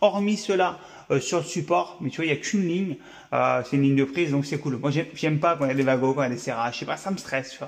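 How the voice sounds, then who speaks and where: At a very fast pace, a man speaks in a fairly high pitch. His pitch varies in an ordinary way. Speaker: electrician. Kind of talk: tutorial. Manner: casual.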